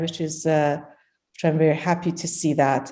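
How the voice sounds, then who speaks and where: With a Persian accent, the voice has a dark, mellow tone and fairly even intonation. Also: woman. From Iran. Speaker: poet and translator. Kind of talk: conversational interview. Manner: halting, many fillers.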